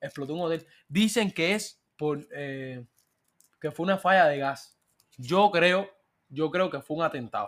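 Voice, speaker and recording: A man with a fairly high voice talks fairly slowly with lively intonation, leaving long, frequent pauses. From Cuba. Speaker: podcast host. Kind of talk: casual chat.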